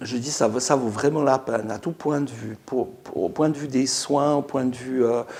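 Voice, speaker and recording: At a moderate pace, the speaker runs on with hardly any pauses and ordinary pitch variation. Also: man, medium pitch for a man. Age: 60s. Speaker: dental patient. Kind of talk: testimony. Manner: halting.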